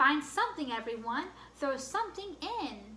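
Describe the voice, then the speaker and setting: Putting on a character voice, a woman speaks at a moderate pace in a high pitch for a woman with very wide pitch swings, against clear background noise. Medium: read story.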